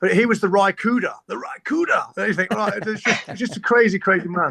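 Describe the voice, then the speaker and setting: A man in an East Midlands accent, his voice raised and projected. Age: 40s. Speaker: musician. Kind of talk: casual chat. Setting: podcast recording. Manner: fast.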